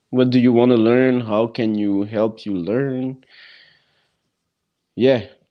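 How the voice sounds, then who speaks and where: Speaking at a very slow pace with long, frequent pauses, a man holds a medium pitch and fairly even intonation. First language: not English or French. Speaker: amateur MMA fighter. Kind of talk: casual podcast interview. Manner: halting.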